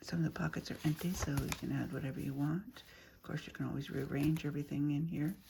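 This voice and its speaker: Very fast speech with big swings in loudness, ordinary pitch variation and noticeable background noise. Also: woman, very deep, low pitch for a woman. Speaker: crafter showing handmade junk journals. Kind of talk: show-and-tell craft video. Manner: casual, with fillers and repeats.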